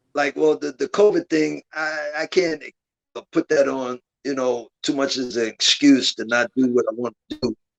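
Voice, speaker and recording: A man speaks at a fairly high pitch with ordinary pitch variation, and the sound is dry and close with no echo. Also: moderate pace. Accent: American. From Brooklyn, New York. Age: 60s. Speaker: calisthenics competition organizer. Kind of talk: podcast interview. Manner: halting, many repeated words.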